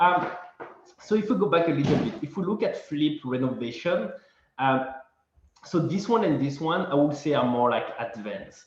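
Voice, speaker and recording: A fairly high male voice with lively intonation and long, frequent pauses, in audible room echo. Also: moderate pace. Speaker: real estate investor presenter. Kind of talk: webinar presentation.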